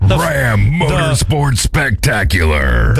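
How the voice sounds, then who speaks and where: Clear background noise sits behind a put-on character voice speaking at a very slow pace. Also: man, fairly low pitch for a man. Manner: booming announcer.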